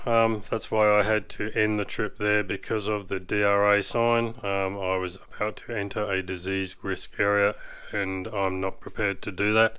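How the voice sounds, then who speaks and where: Against noticeable background noise, a man with a fairly low pitch speaks at a moderate pace. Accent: Australian. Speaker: 4WD YouTuber. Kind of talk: vlog narration. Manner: hesitant, many fillers.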